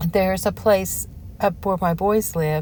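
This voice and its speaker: A woman's somewhat breathy voice moves along at a fairly slow pace. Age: 60s. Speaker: lifestyle vlogger. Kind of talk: casual vlog talk. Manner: animated.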